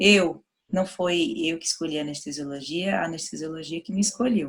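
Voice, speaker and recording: Speaking fairly slowly, a woman has a northeastern Brazilian accent. Her pitch is fairly low. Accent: northeastern Brazilian (Sergipe). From Sergipe, northeastern Brazil. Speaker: university professor of veterinary anesthesiology. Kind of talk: lecture. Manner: casual, conversational.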